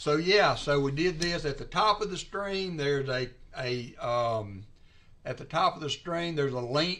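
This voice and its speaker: Speaking with a Southern US accent, a man uses a fairly high pitch and a bright, sharp tone, moving at a fairly slow pace with ordinary pitch variation. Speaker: coin roll hunter and livestreamer. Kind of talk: casual livestream chat. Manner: hesitant, many fillers.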